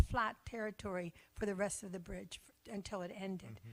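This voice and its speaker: A woman with an American accent talks at a moderate pace with fairly even intonation. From Philadelphia, US. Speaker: church member interviewee. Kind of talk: casual interview chat. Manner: halting.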